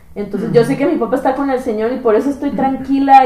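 Noticeable background noise and audible room echo accompany a woman speaking with ordinary pitch variation. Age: 30s. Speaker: evangelist. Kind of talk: religious podcast conversation.

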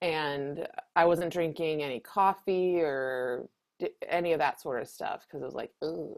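At a very slow pace, a woman speaks with a very deep, low pitch. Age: 30s. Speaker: astrologer. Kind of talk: casual chat.

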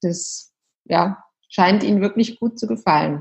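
A woman speaks at a medium pitch, somewhat breathy. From Munich, Bavaria, Germany. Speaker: yoga and meditation teacher, former lawyer. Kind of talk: casual interview.

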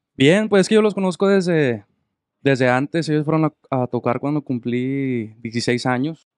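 This man has an unremarkable speaking voice, fairly high in pitch, with lively intonation at a fairly slow pace, in a dry, close sound with no echo. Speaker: musician, harmony guitarist and singer. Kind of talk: casual chat. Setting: studio.

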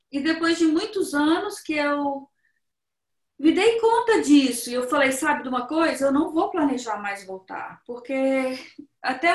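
With lively intonation, a woman's high voice moves at a moderate pace. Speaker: Brazilian immigrant woman sharing life story. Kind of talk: interview.

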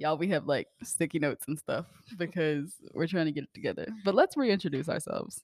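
With an ordinary speaking voice, a woman with a fairly low pitch talks at a fairly quick pace with ordinary pitch variation, in a dry, close sound with no echo. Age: 20s. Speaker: podcast co-host, musician. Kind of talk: casual chat.

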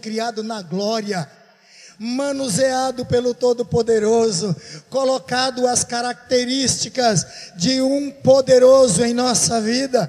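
A man at an extremely high pitch with ordinary pitch variation and a very slow pace, over noticeable background noise. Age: 60s. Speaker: pastor. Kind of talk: sermon. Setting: church.

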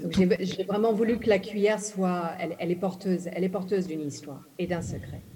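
A woman talks at a fairly quick pace in an English accent, with hardly any pauses. Her medium-pitched voice keeps a fairly even intonation, and the room echo is audible. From Ghana, English-speaking; moved to France at 11. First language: English (speaking French). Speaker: novelist. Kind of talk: literary panel talk. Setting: stage with audience.

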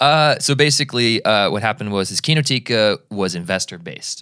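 In a very clean recording with a silent background, a man talks at a moderate pace with lively intonation and a bright, sharp tone. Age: 20s. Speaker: video editor. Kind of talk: casual chat.

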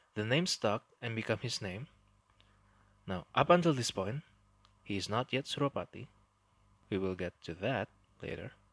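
Against a quiet background, a man of medium pitch speaks with an Indonesian accent at a moderate pace, with lively intonation and long, frequent pauses, in a dry, close sound with no echo. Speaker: history podcast host. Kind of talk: storytelling narration.

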